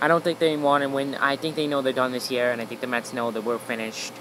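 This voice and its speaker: Over noticeable background noise, a man with a fairly high pitch talks with fairly even intonation. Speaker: sports livestreamer. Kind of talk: casual livestream commentary. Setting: outdoors. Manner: fast.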